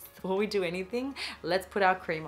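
A woman talks with ordinary pitch variation as a bit of background noise plays. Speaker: beauty vlogger. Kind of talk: tutorial.

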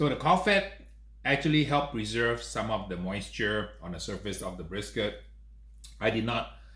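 A man talks at a moderate pace. The room echo is audible. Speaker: host. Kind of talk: tasting review commentary. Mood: enthusiastic, pleased. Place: home room.

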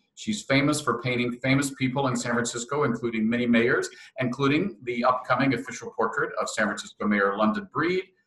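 This man speaks fairly quickly at a medium pitch with ordinary pitch variation and hardly any pauses. Audible room echo surrounds his voice. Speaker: interviewer. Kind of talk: interview questions. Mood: warm, upbeat. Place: home room. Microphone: webcam.

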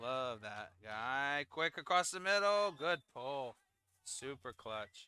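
Speaking at a very slow pace, a man uses a fairly high pitch and lively intonation. His tone is bright and sharp, and the sound is dry and close with no echo. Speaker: sports commentator. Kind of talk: live commentary. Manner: animated.

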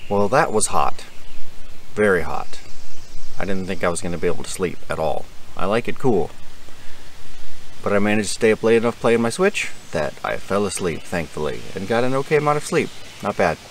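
A man talks at a fairly quick pace with lively intonation and a fairly low pitch. The sound is dry with no echo, over light background noise. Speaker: camping vlogger. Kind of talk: casual vlog chat. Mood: wry, mildly disappointed. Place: forest. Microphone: phone near.

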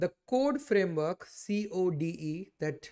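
The man's voice has a dark, mellow tone. The background is quiet. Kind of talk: tutorial. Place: home room.

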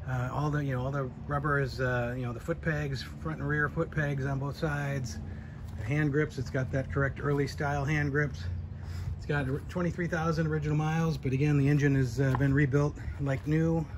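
Through noticeable background noise, a man talks at a fairly quick pace in a somewhat breathy voice. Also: ordinary pitch variation. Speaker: seller who restored the motorcycle. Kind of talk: walkaround commentary. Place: street. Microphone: phone near.

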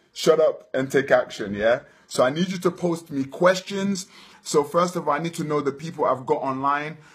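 Faint music plays in the background. A man speaks at a moderate pace. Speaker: motivational vlogger. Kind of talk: motivational live Q&A talk. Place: home room. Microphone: phone near.

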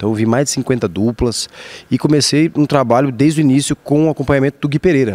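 A man with a dark, mellow tone talks at a very fast pace. His loudness stays very even, with ordinary pitch variation. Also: medium pitch for a man, dry, close sound with no echo. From Brazil, Campo Grande, Mato Grosso do Sul. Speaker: actor and musician. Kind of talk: interview.

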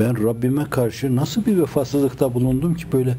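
A man speaks over light background noise. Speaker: religious teacher. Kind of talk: sermon. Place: home room.

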